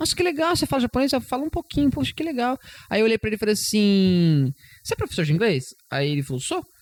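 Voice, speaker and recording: With a dry, close sound and no echo, a man speaks very fast in a high pitch that swings very widely. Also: very clean recording, silent background. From Brazil. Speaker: English teacher. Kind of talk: casual chat.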